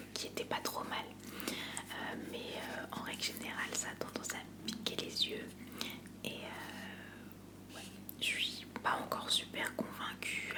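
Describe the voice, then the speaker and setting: A woman whispers at a very slow pace. Background noise is noticeable. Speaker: ASMR content creator. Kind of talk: ASMR unboxing, relaxed talk to camera. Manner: soft-spoken, whispery, casual.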